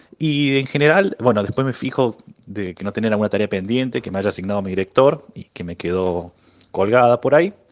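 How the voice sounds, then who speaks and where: A normal speaking voice at a fairly quick pace. The loudness swings widely. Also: man, fairly low pitch for a man, lively intonation. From Argentina, Córdoba city. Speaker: physicist. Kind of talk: interview.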